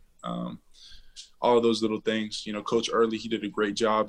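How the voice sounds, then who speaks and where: At a moderate pace, a man with an American accent talks in a fairly low pitch. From Central Texas, Waco area. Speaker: college football player, draft prospect. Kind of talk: interview.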